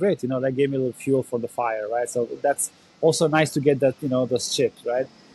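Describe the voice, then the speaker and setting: A man with an Albanian accent talks at a fairly quick pace in a fairly high voice, with a dry, close sound and no echo. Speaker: former Olympic volleyball player and coach. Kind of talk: podcast interview. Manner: animated.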